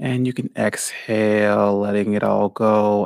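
A man's calm, soothing tone, with a dry, close sound and no echo. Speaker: podcast co-host and yoga guide. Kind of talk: guided meditation. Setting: live stream.

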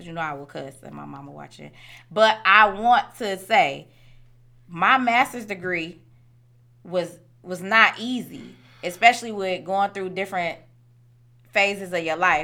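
The voice is bright and sharp, with ordinary pitch variation and big swings in loudness. Speech is fairly slow with long, frequent pauses, on a very clean recording with a silent background. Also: woman, medium pitch for a woman. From Detroit, east side. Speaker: high school teacher. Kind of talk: casual chat.

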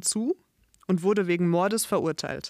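In a very clean recording with a silent background, a woman speaks at a fairly low pitch with ordinary pitch variation, the sound dry and close with no echo. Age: 30s. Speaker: podcast host, language and culture teacher. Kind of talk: scripted narration for language learners. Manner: clear, measured.

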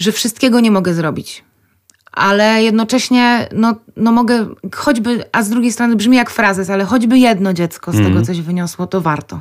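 A woman's ordinary speaking voice, medium in pitch, with ordinary pitch variation and a fairly quick pace. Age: 30s. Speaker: medical clown. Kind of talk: radio interview. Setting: radio studio.

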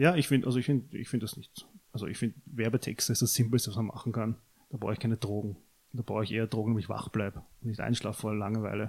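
Talking very fast, a man keeps a medium pitch and fairly even intonation. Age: 20s. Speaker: podcast co-host. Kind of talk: casual chat.

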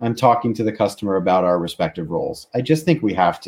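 With an American accent, a man speaks at a moderate pace in a fairly low pitch, in an ordinary speaking voice. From US, Baltimore. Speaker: tech company lawyer. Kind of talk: casual interview chat. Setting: video call.

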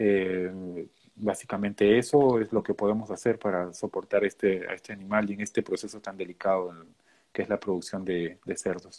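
A man talks at a moderate pace in a normal speaking voice, fairly low in pitch with fairly even intonation. The background is quiet. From Peru. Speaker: animal nutritionist and graduate student. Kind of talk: interview.

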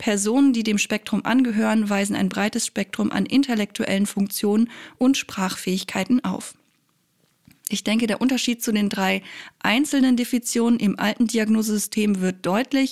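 A somewhat breathy woman's voice, fairly high in pitch, with fairly even intonation. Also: moderate pace, dry, close sound with no echo. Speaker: psychology podcast host. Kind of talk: scripted explainer monologue.

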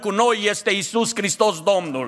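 A man with a high pitch speaks in a raised, projected voice with a bright, sharp tone. His pace is fairly slow, and the recording is very clean with a silent background. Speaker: pastor. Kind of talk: sermon. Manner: impassioned.

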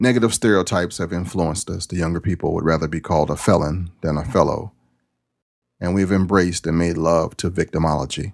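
Very fast speech with an American accent and fairly even intonation, dry and close with no echo, over a very clean, silent background. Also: man, very deep, low pitch for a man. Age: 50s. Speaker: podcast host. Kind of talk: casual monologue.

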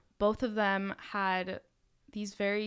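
Recorded very cleanly against a silent background, a woman with an American accent talks at a medium pitch with monotone, flat intonation. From Miami, Florida. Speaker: university student, student club leader. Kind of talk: casual podcast chat.

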